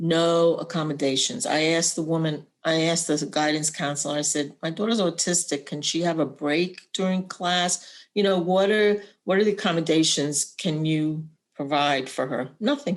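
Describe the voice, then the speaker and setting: A woman's unremarkable speaking voice, fairly low in pitch, with ordinary pitch variation at a moderate pace. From Puerto Rican family, raised in US. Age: 60s. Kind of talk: personal testimony.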